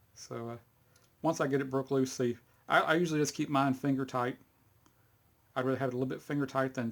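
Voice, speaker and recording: A man with a Texas accent speaks at medium pitch in a monotone, flat intonation. The recording is very clean, with a silent background. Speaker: hobbyist video maker. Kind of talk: tutorial. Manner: casual, halting with fillers.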